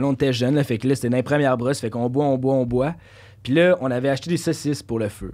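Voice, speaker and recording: The background is quiet as a man talks at a mid-range pitch. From Quebec, South Shore near Lévis; Quebec. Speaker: podcast guest. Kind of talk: casual chat. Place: studio. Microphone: studio mic.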